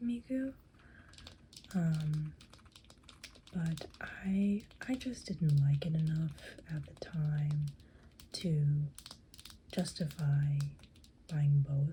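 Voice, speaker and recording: A soft-spoken woman's very deep, low voice at a very slow pace, with long, frequent pauses and big swings in loudness. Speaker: cosplayer and ASMR creator. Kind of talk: ASMR soft-spoken rambling about figures. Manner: soft-spoken, rambling, casual.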